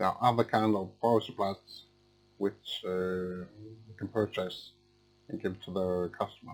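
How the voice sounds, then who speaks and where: A man speaks fairly slowly with a Swedish accent. His pitch is fairly low and his intonation fairly even. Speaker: electronics repair technician. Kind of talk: tutorial. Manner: halting.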